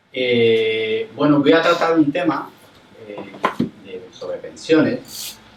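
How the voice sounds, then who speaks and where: A man speaks very slowly at a fairly high pitch, with very wide pitch swings and big swings in loudness. Audible room echo and noticeable background noise fill the recording. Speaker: labour lawyer and lecturer. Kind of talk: public lecture. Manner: hesitant.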